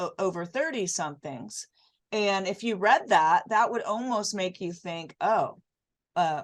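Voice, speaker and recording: A woman speaks in a plain, everyday voice at medium pitch. Her pace is moderate, and the background is quiet. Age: 60s. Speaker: fitness podcast host, former fitness competitor. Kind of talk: casual interview chat.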